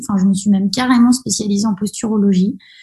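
A woman's dark, mellow tone. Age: 30s. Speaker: osteopath. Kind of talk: casual interview. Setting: podcast interview.

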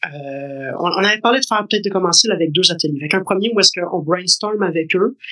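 A man's raised, projected voice at a high pitch, very fast with hardly any pauses, in a Quebec accent with ordinary pitch variation. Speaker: podcast co-host, school parent. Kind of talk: casual chat.

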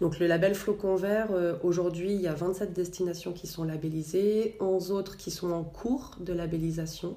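With audible room echo, a woman speaks in a dark, mellow tone at a fairly low pitch, keeping fairly even intonation and a fairly slow pace. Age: 40s. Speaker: environmental association program manager. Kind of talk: interview.

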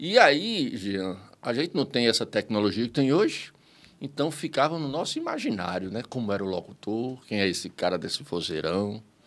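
A man at medium pitch with very wide pitch swings and a moderate pace, on a very clean recording with a silent background. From Viçosa, interior of Rio Grande do Norte, Brazil. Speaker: comedian. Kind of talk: casual interview chat.

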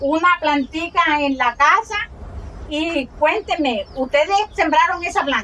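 Through noticeable background noise, a woman projects a raised voice at an extremely high pitch, moving very slowly with ordinary pitch variation. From Colombian Caribbean, Montes de María. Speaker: rural teacher and community leader. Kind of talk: interview testimony.

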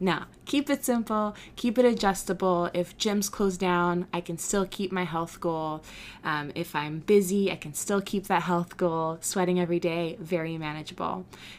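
Speaking at a moderate pace with hardly any pauses, a woman with an ordinary speaking voice and a fairly low pitch shows ordinary pitch variation in a very clean recording with a silent background. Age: 20s. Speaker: podcast host and small business owner. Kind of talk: solo podcast monologue. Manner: casual, with fillers and laughs.

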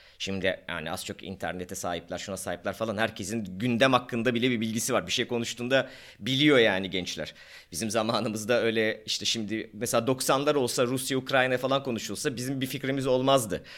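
It is a plain, everyday voice on a very clean recording with a silent background. The pace is fairly quick, with ordinary pitch variation and hardly any pauses. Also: man, medium pitch for a man. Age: 40s. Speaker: podcast co-host, doctor. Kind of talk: casual chat.

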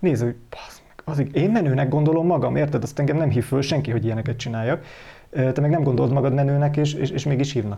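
The background is quiet. The pace is very fast. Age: 30s. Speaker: podcast host. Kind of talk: casual chat.

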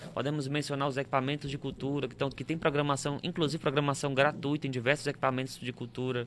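A man speaks at a very fast pace in a fairly high pitch. His intonation is monotone and flat. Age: 30s. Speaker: tour guide. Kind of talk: casual interview. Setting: live-streamed studio podcast.

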